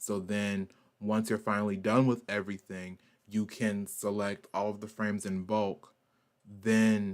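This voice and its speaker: Monotone and flat, a man talks at a fairly slow pace in a fairly low pitch. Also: very clean recording, silent background. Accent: Southern US. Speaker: artist and animator streamer. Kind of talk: art stream tutorial. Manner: casual, filler-heavy.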